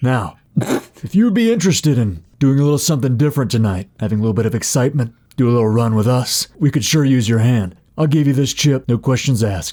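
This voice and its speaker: A man puts on a character voice at medium pitch. He rattles along at a very fast pace. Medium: actual play. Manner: calm, confident.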